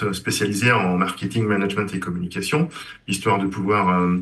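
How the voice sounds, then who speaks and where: Fairly even intonation and a moderate pace from a man with a fairly low voice. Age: 60s. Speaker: engineer, former student. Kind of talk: interview. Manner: halting, many hesitations.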